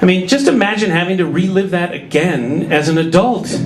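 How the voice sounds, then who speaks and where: An animated, high-pitched man with an American accent, against noticeable background noise and audible room echo. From Minnesota. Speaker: stand-up comedian. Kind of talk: stand-up. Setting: stage with audience.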